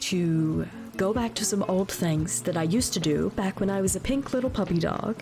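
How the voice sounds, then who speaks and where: A woman speaks at a moderate pace in a medium pitch, her voice swinging very widely in pitch. Music plays in the background. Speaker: VTuber streamer. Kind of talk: casual talk to chat.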